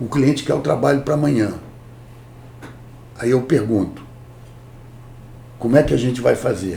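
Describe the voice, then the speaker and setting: Audible room echo surrounds this moderately paced speech, which has ordinary pitch variation and long, frequent pauses. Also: man, medium pitch for a man. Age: 60s. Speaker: corporate lawyer. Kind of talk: interview. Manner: animated.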